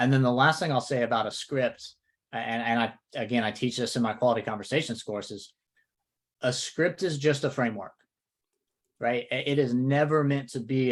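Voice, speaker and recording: This man has an American accent and fairly even intonation, talking at a fairly quick pace. The recording is very clean, with a silent background. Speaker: real estate coach. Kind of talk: podcast discussion.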